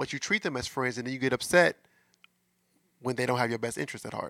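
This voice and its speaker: With vocal fry and a bright, sharp tone, a medium-pitched man with an American accent comes through a very clean recording with a silent background and a dry, close sound with no echo. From US Midwest, St. Louis, Missouri. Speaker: podcast host, relationship coach. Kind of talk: casual monologue about relationships. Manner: conversational, filler-heavy.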